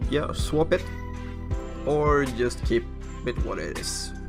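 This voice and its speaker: Over music in the background, a man speaks with a non-native accent. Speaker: game modder. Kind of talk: screen-recorded tutorial.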